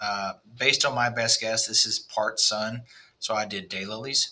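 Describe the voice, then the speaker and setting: With a Texas accent, a man speaks at a medium pitch with ordinary pitch variation. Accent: Texas twang. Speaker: landscape designer. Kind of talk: design walkthrough for a client. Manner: casual, with frequent fillers.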